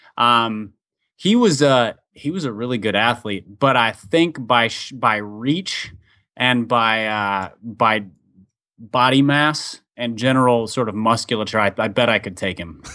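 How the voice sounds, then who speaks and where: A man speaks in a plain, everyday voice. His pitch is medium, with ordinary pitch variation. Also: fairly slow pace. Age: 30s. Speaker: author and pastor's kid. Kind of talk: casual interview. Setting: remote call.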